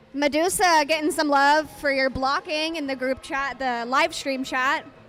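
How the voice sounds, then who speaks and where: With noticeable background noise behind her, a woman speaks fairly slowly at a high pitch with fairly even intonation. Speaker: roller derby announcer and skater. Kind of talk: live commentary.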